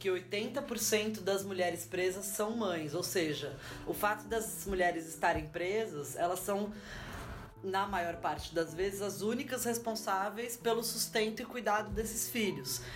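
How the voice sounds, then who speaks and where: A woman speaks at a fairly slow pace with lively intonation and very even loudness. Audible room echo and noticeable background noise fill the recording. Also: medium pitch for a woman. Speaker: sociologist. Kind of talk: interview.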